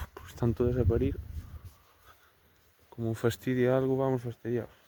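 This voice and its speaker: This is a man's voice at a medium pitch. His intonation is monotone and flat. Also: moderate pace. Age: 20s. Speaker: cattle farmer. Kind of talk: casual talk to camera. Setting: outdoors.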